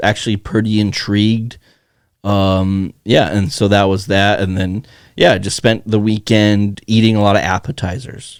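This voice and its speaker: A man's fairly low, unremarkable speaking voice at a moderate pace, in a very clean recording with a silent background. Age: 20s. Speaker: podcast co-host. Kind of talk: casual chat.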